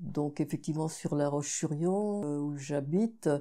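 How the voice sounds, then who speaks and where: Very deep, low pitch and a dark, mellow tone from a woman at a fairly slow pace, in a very clean recording with a silent background. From Vendée, western France. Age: 70s. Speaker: feminist activist. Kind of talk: interview. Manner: hesitant, with frequent fillers.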